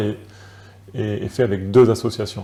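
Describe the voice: Vocal fry runs through a man's fairly low-pitched voice, which has a dark, mellow tone.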